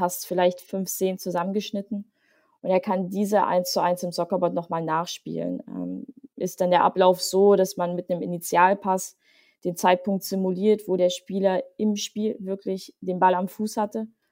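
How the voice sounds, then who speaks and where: A woman's medium-pitched, dark, mellow voice at a moderate pace, with monotone, flat intonation. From Leipzig, Saxony, eastern Germany. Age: 30s. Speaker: sports software manager and football player. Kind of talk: podcast interview.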